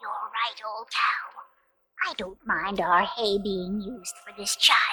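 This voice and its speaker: Delivered at a fairly slow pace, the voice is a put-on character voice. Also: female-sounding voice, medium pitch for a woman. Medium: read story.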